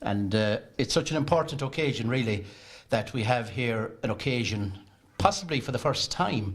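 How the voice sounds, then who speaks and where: A man speaks at a moderate pace with a Kerry accent. His voice is somewhat breathy. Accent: Irish, Kerry. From Ireland. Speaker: festival chairman. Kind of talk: speech at book launch.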